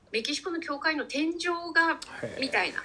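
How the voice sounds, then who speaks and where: A woman at a fairly quick pace. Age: 50s. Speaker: cook. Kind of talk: casual interview conversation.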